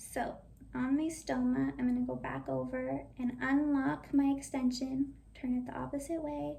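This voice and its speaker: At a moderate pace, a woman speaks in a room with audible echo. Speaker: video creator sharing feeding tube tips. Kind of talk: tutorial.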